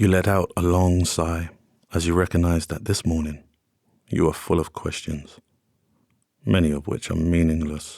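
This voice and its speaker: Very deep and low, a man's voice moves at a moderate pace with fairly even intonation and long, frequent pauses on a very clean recording with a silent background. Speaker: sleep story narrator. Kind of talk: sleep story.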